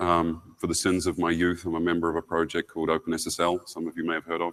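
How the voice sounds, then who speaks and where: A man's very deep, low voice with a New Zealand accent, monotone and flat in intonation, at a very fast pace, the sound dry and close with no echo. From New Zealand, Wellington. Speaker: security engineering lead, conference speaker. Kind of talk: conference keynote. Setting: stage with audience. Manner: frequent fillers and hesitations.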